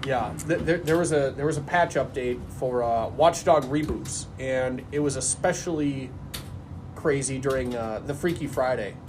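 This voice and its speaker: In an American accent, a man with a fairly high pitch talks at a moderate pace with ordinary pitch variation and audible room echo. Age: 40s. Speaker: podcast host. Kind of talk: casual chat.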